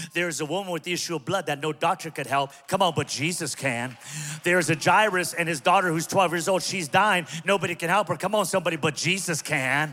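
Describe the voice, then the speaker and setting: A man talks at a very fast pace in a high pitch with an animated tone and ordinary pitch variation. Music plays in the background. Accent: American. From Southern California (Pico Rivera). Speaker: pastor. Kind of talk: sermon.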